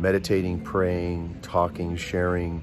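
The speaker keeps a moderate pace while music plays clearly in the background. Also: man. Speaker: broadcast host, prayer minister. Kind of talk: casual vlog chat. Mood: warm, grateful, earnest. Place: station. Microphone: phone near.

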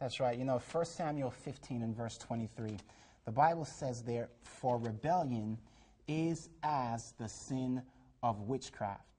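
A man speaks very slowly at medium pitch, somewhat breathy. His tone is dark and mellow, with ordinary pitch variation. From Jamaica. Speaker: talk show guest. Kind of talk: religious TV discussion. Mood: earnest, testifying. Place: studio. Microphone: lapel.

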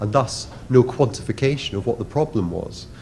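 A man at a fairly quick pace, light background noise, ordinary pitch variation. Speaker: conference presenter. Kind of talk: conference talk. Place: hall.

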